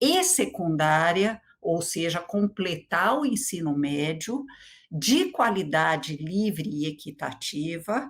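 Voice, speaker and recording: At a very slow pace, the voice comes through in a very clean recording with a silent background. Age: 60s. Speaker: education speaker. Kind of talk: lecture. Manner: hesitant fillers.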